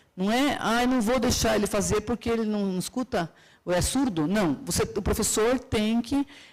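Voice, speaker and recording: A woman's unremarkable speaking voice, fairly high in pitch, at a moderate pace with ordinary pitch variation and very even loudness. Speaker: university professor and conference speaker. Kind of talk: conference lecture. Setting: stage with audience.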